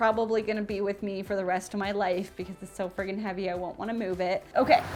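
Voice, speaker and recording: With music in the background, a woman speaks at a medium pitch in an animated tone. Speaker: DIY home renovation youtuber. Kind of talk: casual vlog haul show-and-tell.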